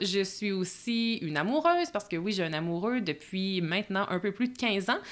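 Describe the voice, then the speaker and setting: In a very clean recording with a silent background, a woman with a Quebec accent speaks in a bright, sharp tone with lively intonation. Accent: Québécois French. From Quebec, Bois-Francs region. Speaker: podcast host, productivity coach. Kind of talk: solo podcast monologue. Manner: casual with filler words.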